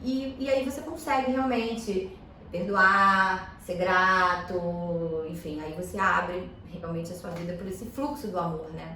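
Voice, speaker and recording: With lively intonation and big swings in loudness, a woman talks at a medium pitch and a very slow pace. There is audible room echo and noticeable background noise. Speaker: energy therapist. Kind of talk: podcast interview. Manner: talkative, filler-heavy.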